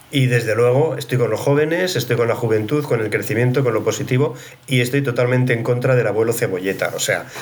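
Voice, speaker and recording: A man talks at a very fast pace and medium pitch with ordinary pitch variation and very even loudness, over noticeable background noise and audible room echo. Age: 60s. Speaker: HR executive and psychologist. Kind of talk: casual interview conversation.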